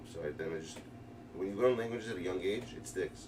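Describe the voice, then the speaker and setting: Talking at a very fast pace in a New York accent, a man with a fairly low pitch comes through with audible room echo and noticeable background noise. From New York, Brooklyn. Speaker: video game streamer. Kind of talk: live gaming stream commentary. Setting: live stream. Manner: casual, fast, rambling.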